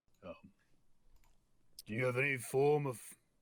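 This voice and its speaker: This is a put-on character voice from a man. It sits at a medium pitch and moves at a moderate pace. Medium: actual play. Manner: hesitant, halting.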